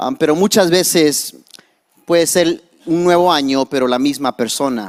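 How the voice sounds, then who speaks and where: In an English accent, a man talks at a fairly slow pace, his fairly high pitch showing ordinary variation. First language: English (speaking Spanish). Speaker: pastor. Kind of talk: sermon. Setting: church. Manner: halting, code-switching.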